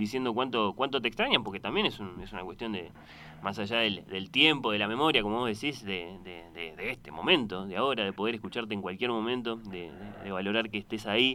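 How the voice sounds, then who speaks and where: A man with a fairly low pitch talks at a fairly quick pace. His tone is bright and sharp. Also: ordinary pitch variation. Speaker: radio host. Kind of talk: radio interview.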